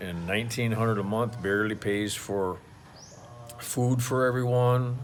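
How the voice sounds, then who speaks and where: The delivery is fairly slow with fairly even intonation, in an American accent. Audible room echo surrounds the voice. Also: man. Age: 60s. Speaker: expat vlogger, retired oil field worker. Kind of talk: casual vlog monologue. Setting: outdoors at home by a pool. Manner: halting, many fillers and restarts.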